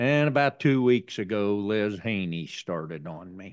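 A plain, everyday voice with an American accent moves at a fairly slow pace with lively intonation. The background is quiet. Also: man. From southeastern Indiana. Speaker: farmer. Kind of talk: interview. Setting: on-the-road studio at a conference.

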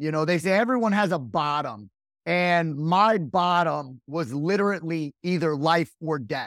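Energetic and lively in intonation, a man with an American accent and a fairly high pitch speaks at a fairly slow pace on a very clean recording with a silent background. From US Midwest, Rockford, Illinois. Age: 40s. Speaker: sales and marketing expert, real estate wholesaler. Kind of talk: interview.

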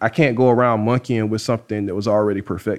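A man in a South Carolina accent at a fairly quick pace. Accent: South Carolina Southern. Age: 30s. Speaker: rocket scientist and barbecue cook. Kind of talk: casual interview. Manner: quiet.

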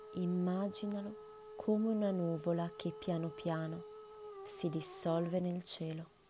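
Speaking at a very slow pace with long, frequent pauses, a woman uses a calm, soothing tone and fairly even intonation against noticeable background noise. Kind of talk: guided meditation. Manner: slow, calm, soothing, with long pauses between instructions; gentle, soft-spoken, unhurried.

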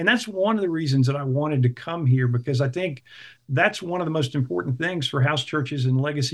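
A plain, everyday voice with an American accent, at a fairly quick pace with ordinary pitch variation. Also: man. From US South, South Carolina (Clemson). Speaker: house church leader. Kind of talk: interview.

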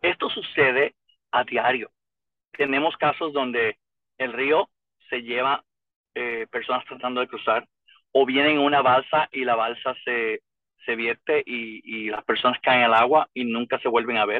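The talker is a man going at a fairly slow pace. Long pauses come often in his speech. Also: medium pitch for a man, fairly even intonation. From Puerto Rico. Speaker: retired federal immigration investigator. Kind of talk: interview.

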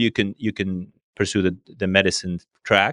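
A man with an Arabic accent speaks at a moderate pace against a quiet background, the sound dry and close with no echo. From Syria. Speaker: regional director at a tech company. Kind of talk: casual interview conversation. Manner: hesitant, with many filler words.

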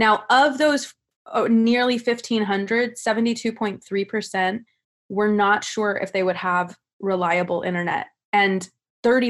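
Very clean, with a silent background, this recording has a woman speaking at a medium pitch with an American accent. Her pace is moderate, her pitch variation ordinary, and she has an unremarkable speaking voice. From California. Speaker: law graduate and activist. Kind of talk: panel discussion.

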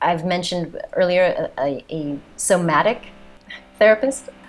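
A woman talks at a very slow pace in an American accent. Her pitch is fairly low. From United States. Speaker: physician and trauma therapist. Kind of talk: casual chat.

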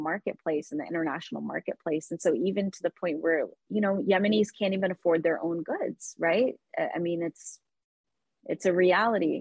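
A woman at a medium pitch with a normal speaking voice, ordinary pitch variation and a moderate pace. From Texas (Dallas), born in Yemen. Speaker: small business founder. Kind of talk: interview conversation.

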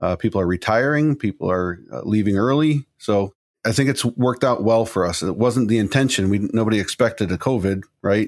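A plain, everyday voice from a man with a fairly low pitch, a fairly quick pace and ordinary pitch variation, on a very clean recording with a silent background. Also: dry, close sound with no echo. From Chicago. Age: young. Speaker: printing company president. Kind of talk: interview.

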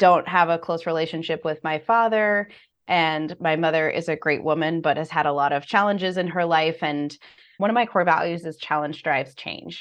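Moderate pace and ordinary pitch variation in a normal speaking voice. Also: woman. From United States. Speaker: financial coach. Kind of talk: interview.

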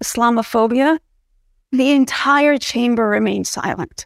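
Using an American accent, a woman speaks at a fairly slow pace in a high voice with fairly even intonation, the sound dry and close with no echo. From US Northeast (New Jersey). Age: 30s. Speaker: political science professor. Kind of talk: interview.

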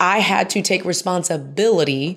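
With an American accent and an animated tone, a woman speaks at a fairly low pitch. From Houston, Texas. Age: 30s. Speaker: speaker and author. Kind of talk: interview testimony.

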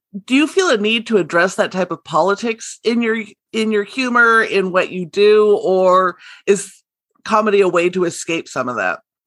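Medium pitch and ordinary pitch variation from a woman, an ordinary speaking voice at a moderate pace. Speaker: podcast host. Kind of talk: casual interview.

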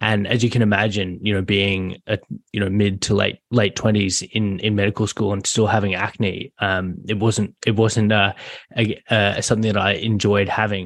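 A man with an Australian accent talks at a moderate pace in a fairly low pitch, his intonation monotone and flat. His loudness stays very even against a quiet background. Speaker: general practice doctor. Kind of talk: interview.

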